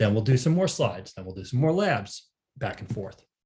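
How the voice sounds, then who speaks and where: A man speaks with a somewhat breathy voice whose pitch swings very widely. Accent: American. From United States. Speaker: training manager, instructor. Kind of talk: online training class. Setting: video call webinar. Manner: casual, many filler words.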